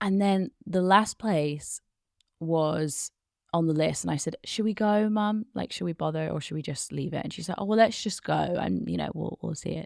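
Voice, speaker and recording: On a very clean recording with a silent background, a woman speaks in an Oxford accent. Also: moderate pace, dry, close sound with no echo. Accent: British (Oxford). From United Kingdom (Oxford). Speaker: business English podcast host. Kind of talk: personal story told in interview.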